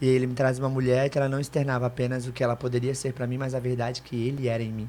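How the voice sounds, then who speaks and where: The man speaks at a very fast pace with a medium pitch. His intonation is monotone and flat. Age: 30s. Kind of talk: testimony.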